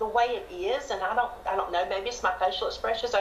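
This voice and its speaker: A woman with a Southern US accent speaks at a high pitch and a moderate pace, with audible room echo and light background noise. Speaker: interview guest. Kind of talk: interview answer. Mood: cheerful, laughing. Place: home room. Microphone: video call.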